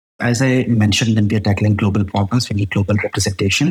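A man's fairly low voice with a Pakistani accent, fairly even intonation, and noticeable background noise. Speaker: product manager. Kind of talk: panel discussion.

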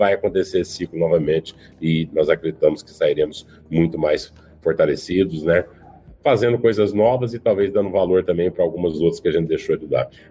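Fairly quick male speech with big swings in loudness. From Paraná, southern Brazil. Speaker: retail executive. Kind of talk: panel discussion.

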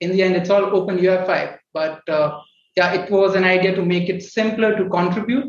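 A man speaks at a high pitch. His intonation is fairly even. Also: moderate pace. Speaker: startup co-founder, software developer. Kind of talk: panel discussion.

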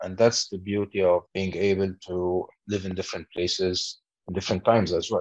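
A man's very deep, low voice, monotone and flat, in a dry, close sound with no echo. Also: fairly quick pace. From Lebanon. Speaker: corporate executive. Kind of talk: interview.

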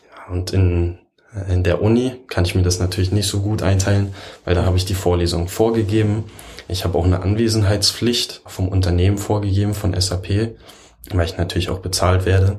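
The man's voice is very deep and low. He speaks at a fairly quick pace in a monotone, flat intonation. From Berlin. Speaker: computer science work-study student. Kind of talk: casual interview chat.

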